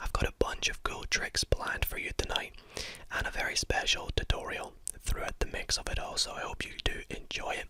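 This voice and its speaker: Someone is whispering at a moderate pace over noticeable background noise. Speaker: ASMR creator and card magician. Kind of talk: whispered ASMR card tricks. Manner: up-close whisper.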